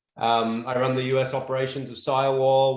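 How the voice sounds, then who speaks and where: Audible room echo surrounds a man speaking with an Australian accent. He keeps a moderate pace. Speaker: construction company executive. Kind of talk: presentation.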